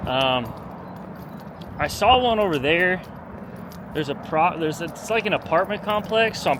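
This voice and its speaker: Over noticeable background noise, a man with an American accent speaks at a moderate pace in a high voice with lively intonation. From Southern California (Long Beach). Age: 30s. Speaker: vlogger. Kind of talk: casual vlog talk. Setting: outdoors, walking. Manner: casual, laid-back.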